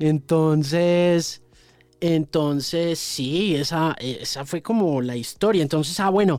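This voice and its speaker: A man speaks at a very slow pace. His pitch is fairly high, with ordinary pitch variation. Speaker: radio presenter. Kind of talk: interview. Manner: halting, with frequent repetitions.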